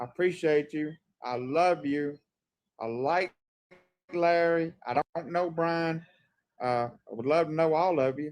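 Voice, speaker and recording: A man's fairly high voice with ordinary pitch variation, broken by long, frequent pauses. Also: quiet background. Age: 60s. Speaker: live stream guest. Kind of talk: casual chat. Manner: halting.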